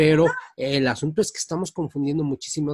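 A man speaks with a fairly high pitch. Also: dry, close sound with no echo. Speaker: radio host. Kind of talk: casual chat.

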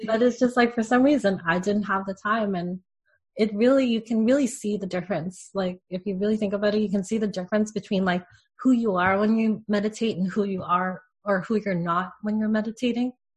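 Her voice is medium in pitch and somewhat breathy, with fairly even intonation. The woman speaks at a fairly quick pace against a quiet background. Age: 30s. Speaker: spiritual podcast co-host and entrepreneur. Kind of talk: casual chat.

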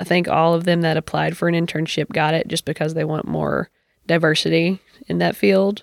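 At a moderate pace, a woman with an American accent talks at a fairly low pitch in a dry, close sound with no echo. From Kentucky, rural Cumberland County. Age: 20s. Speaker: podcast guest. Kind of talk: casual chat.

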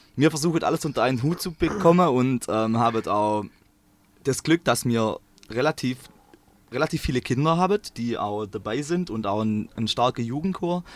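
This man speaks at a moderate pace and a medium pitch, with lively intonation. The sound is dry and close, with no echo. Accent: strong Swabian. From Swabia, southern Germany. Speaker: engineering student and choir singer. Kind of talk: casual interview. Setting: in a parked bus.

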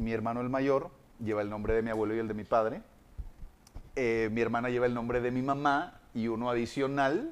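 A man speaks at a fairly quick pace in an ordinary speaking voice, his medium pitch held to fairly even intonation. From Monterrey, Mexico. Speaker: voice actor and radio announcer. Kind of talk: casual interview chat.

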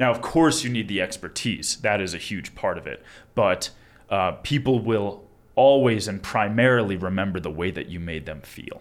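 A man with an American accent and an unremarkable speaking voice talks at a fairly low pitch, his intonation lively and his loudness swinging widely. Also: moderate pace. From Long Island, New York. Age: 20s. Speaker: attorney. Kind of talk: casual interview.

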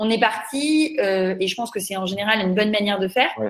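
A woman with an unremarkable speaking voice, a moderate pace, and ordinary pitch variation. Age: 30s. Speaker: startup founder. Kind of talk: interview.

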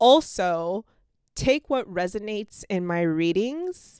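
A woman speaks in an animated tone. The sound is dry and close with no echo, on a very clean recording with a silent background. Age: 30s. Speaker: podcast host and tarot reader. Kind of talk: casual monologue.

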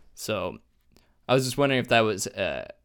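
Vocal fry runs through speech delivered at a very fast pace, with ordinary pitch variation. The recording is very clean, with a silent background. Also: man. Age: 20s. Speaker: podcast co-host. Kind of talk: casual interview chat.

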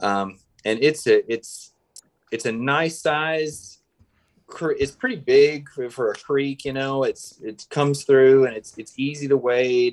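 Speaking very slowly with a Southern US accent, a man with a fairly high voice shows ordinary pitch variation. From Mississippi, Tupelo. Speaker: filmmaker. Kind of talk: casual interview.

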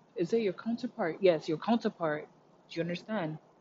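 Somewhat breathy, the delivery has an animated tone and ordinary pitch variation. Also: woman. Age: 30s. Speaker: spiritual podcaster. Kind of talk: motivational solo talk. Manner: animated, frequent laughter.

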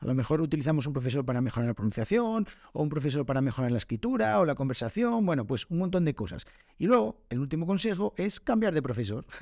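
With a dark, mellow tone and fairly high pitch, a man talks at a very fast pace through very wide pitch swings. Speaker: Spanish teacher and podcast host. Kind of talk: solo educational podcast.

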